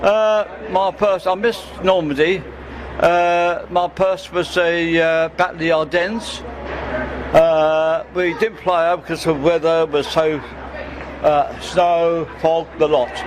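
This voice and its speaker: A high-pitched man at a very slow pace with fairly even intonation, amid noticeable background noise. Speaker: war veteran. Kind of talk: interview.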